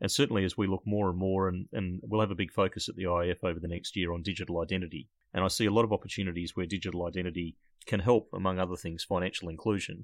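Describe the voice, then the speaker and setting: A man's very deep, low voice with an Australian accent, a very fast pace and fairly even intonation, in a dry, close sound with no echo and a quiet background. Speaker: podcast host. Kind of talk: interview conversation.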